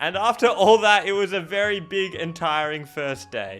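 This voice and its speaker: Speaking with an Australian accent, a man uses a raised, projected voice. His pitch is high, with ordinary variation. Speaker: YouTuber. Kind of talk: vlog narration. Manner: casual.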